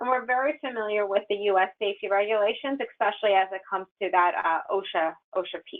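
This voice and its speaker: Her voice sits at a fairly high pitch, and this woman uses ordinary pitch variation. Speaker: software company general manager. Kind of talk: webinar presentation. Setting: webinar. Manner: fast.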